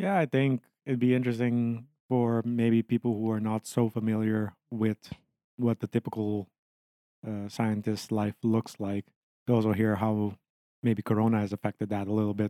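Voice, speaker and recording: A man with an Aruban accent speaks at medium pitch and a moderate pace in a flat monotone. His tone is dark and mellow, and the sound is dry and close with no echo. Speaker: podcast co-host and PhD student. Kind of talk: casual chat.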